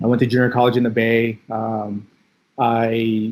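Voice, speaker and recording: A man's medium-pitched voice in a Californian accent. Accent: Californian American English. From Philippines (Manila), then Bay Area (Daly City) from childhood. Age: 30s. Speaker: athletic trainer. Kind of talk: casual interview. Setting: podcast. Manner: casual, many fillers.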